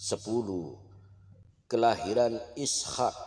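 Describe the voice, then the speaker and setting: Fairly even intonation marks a man speaking in a dark, mellow tone. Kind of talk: religious story narration (prophet stories).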